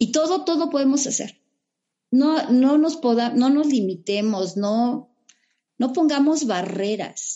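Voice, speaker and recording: This woman speaks at a very slow pace with lively intonation. Her pitch is high. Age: 60s. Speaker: trail runner. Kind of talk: interview.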